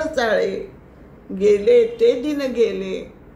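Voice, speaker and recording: Noticeable background noise sits behind a woman's voice. She speaks at a high pitch with ordinary pitch variation. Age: 80s+. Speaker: poet. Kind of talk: poetry reading.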